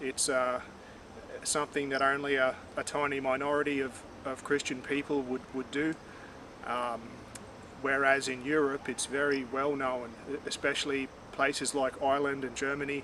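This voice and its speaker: Over noticeable background noise, a man with an Australian accent speaks in a flat monotone, with long, frequent pauses. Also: fairly high pitch for a man, moderate pace. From Australia, Far North Queensland (Cairns). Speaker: vlogger. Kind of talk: personal reflection monologue. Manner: halting, many fillers and repeats.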